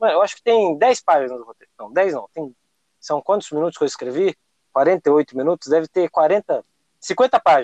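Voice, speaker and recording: In an unremarkable speaking voice, a man at a fairly high pitch talks at a moderate pace, with lively intonation and big swings in loudness. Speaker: podcast host. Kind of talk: casual chat.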